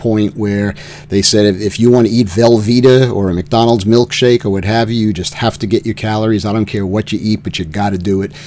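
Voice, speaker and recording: Noticeable background noise sits behind a man speaking at a fairly quick pace with a fairly low pitch. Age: 70s. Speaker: cancer patient vlogger. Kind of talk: personal video update. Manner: halting, many fillers.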